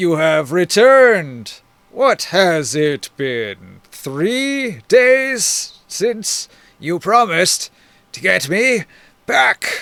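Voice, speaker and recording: A very slow, high put-on character voice from a man, with very wide pitch swings. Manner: loud, demanding.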